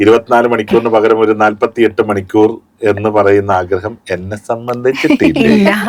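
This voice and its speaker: A man speaks in a normal speaking voice. His pitch sits in the medium range. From Kerala, India. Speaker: radio jockey; voice actor. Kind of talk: interview answer.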